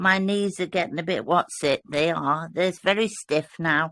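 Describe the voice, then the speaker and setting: In a British accent, a woman speaks at a fairly slow pace. Her pitch varies in an ordinary way. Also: very clean recording, silent background. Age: old. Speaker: fellowship participant. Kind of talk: casual chat.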